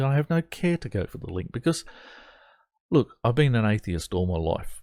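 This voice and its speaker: An animated man with an Australian accent speaks at a moderate pace with very wide pitch swings, sounding dry and close with no echo on a very clean recording with a silent background. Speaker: atheist commentary vlogger. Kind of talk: reaction commentary on an article. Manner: animated, exasperated.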